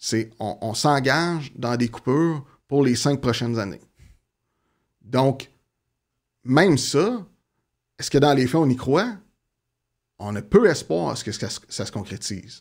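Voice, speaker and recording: A man speaks at a very slow pace and medium pitch, with lively intonation. Long, frequent pauses break up his speech. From Quebec, Gatineau (Outaouais). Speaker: community organization worker in offender reintegration. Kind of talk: interview conversation.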